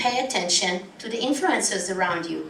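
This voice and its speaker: In a room with audible echo and noticeable background noise, the speaker uses lively intonation and has an Israeli accent. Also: woman. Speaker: travel company founder and conference speaker. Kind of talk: conference talk. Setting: conference stage with audience.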